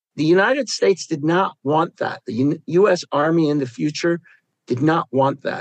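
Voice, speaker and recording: This man has an ordinary speaking voice, fairly high in pitch. He talks at a moderate pace with ordinary pitch variation. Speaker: war trauma therapist and veteran. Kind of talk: casual chat.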